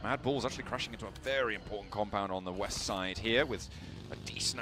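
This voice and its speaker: A man delivers his words at a fairly quick clip in a medium-pitched voice, his pitch varying in an ordinary way, with noticeable background noise behind him. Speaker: esports caster. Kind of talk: live commentary.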